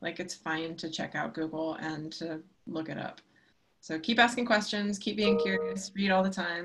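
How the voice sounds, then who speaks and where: Over light background noise, a woman with a fairly low voice speaks at a moderate pace with ordinary pitch variation. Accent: American. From US military family, schooled partly in Germany. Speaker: science writer and journalist; journalist. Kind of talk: live webinar interview. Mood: friendly, relaxed, encouraging. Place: home room. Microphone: webcam.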